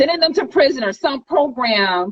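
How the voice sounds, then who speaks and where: A woman talks loudly at a high pitch, with very wide pitch swings. Her tone is animated and her pace moderate. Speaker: school board candidate. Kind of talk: interview.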